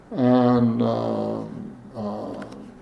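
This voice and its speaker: Amid noticeable background noise and audible room echo, a man talks with an American accent. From Ohio, US Midwest. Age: 80s+. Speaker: former state legislator. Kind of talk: oral history interview. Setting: at his home. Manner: halting, many fillers.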